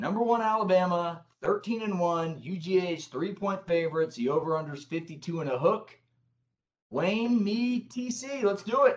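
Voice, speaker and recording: This man talks with an American accent at a fairly slow pace. His voice is high-pitched, with lively intonation. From Grand Rapids, Michigan. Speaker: sports show host. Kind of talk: casual sports talk show.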